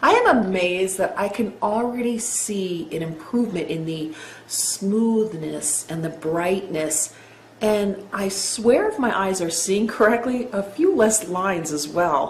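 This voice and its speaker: A woman speaks at a fairly slow pace with ordinary pitch variation. Room echo is audible, along with noticeable background noise. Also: medium pitch for a woman. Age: 60s. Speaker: customer giving testimonial. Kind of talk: testimony.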